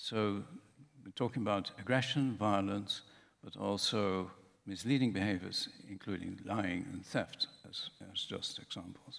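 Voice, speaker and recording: Speaking at a fairly slow pace with a Dutch accent, the voice keeps a fairly even intonation. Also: man, fairly low pitch for a man. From Netherlands. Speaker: professor. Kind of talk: conference talk. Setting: conference room with audience.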